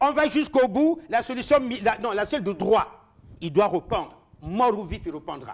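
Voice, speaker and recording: A man speaks loudly in an animated tone, his high voice making very wide pitch swings. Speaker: political commentator. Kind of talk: heated debate.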